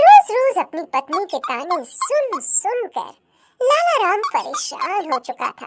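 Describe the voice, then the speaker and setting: A squeaky, put-on character voice speaks at an extremely high pitch. It moves at a fairly slow pace with very wide pitch swings. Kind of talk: children's cartoon story narration. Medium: cartoon. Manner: even, explanatory.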